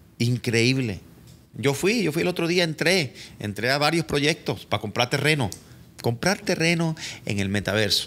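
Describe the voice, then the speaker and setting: At a moderate pace, a man talks with very wide pitch swings while his loudness stays very even. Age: 40s. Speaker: entertainment lawyer. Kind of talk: casual chat. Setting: studio. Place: office. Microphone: studio mic.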